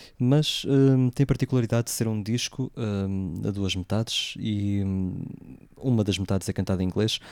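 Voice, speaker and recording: This man's voice sits fairly low, with ordinary pitch variation and a fairly slow pace. The sound is dry and close, with no echo. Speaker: radio host. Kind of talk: radio music show presenting. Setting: live radio broadcast away from home. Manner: hesitant, many fillers. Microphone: different equipment, voice sounds distorted.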